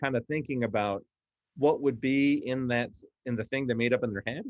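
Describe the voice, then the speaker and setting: Recorded dry and close with no echo, a man speaks at a medium pitch and a fairly quick pace, with ordinary pitch variation. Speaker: professional game master and tabletop panels director. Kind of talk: casual instructional discussion. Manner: precise in wording.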